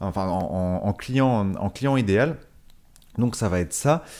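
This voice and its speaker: On a very clean recording with a silent background, a man speaks with lively intonation in a dark, mellow tone. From northern France. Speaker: network marketing podcaster. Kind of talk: casual monologue podcast. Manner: halting, many fillers and repetitions.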